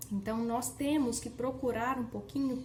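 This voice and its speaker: A woman's high-pitched voice carries audible room echo, with noticeable background noise also present. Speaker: online educator. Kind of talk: workshop lecture. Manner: casual conversational.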